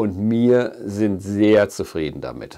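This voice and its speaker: A man speaks with a fairly low pitch. Behind him, the background is quiet. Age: 50s. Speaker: fishing shop owner and angling YouTuber; angling YouTuber. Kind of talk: video address to viewers. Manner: earnest. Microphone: lapel.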